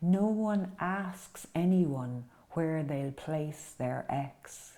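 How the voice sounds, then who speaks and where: A woman with an Irish accent speaks at a very slow pace. Her voice is very deep and low, with a dark, mellow tone. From Ireland, County Roscommon. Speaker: poet. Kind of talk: poetry reading. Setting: at home.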